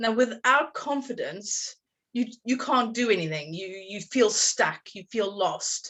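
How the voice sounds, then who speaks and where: With a strong South African accent, a woman speaks fairly slowly in a fairly high voice with lively intonation. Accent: South African, still strong after two decades. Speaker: confidence coach. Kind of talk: podcast interview.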